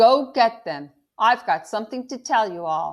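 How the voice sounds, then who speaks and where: A female-sounding put-on character voice, fairly high in pitch, at a moderate pace, in a very clean recording with a silent background. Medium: read story. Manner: relaxed, neighborly.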